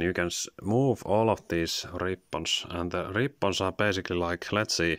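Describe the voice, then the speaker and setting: A man speaks in a very deep, low voice with fairly even intonation. The background is quiet and the sound is dry with no echo. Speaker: toy reviewer. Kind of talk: product review. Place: home room. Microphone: phone near.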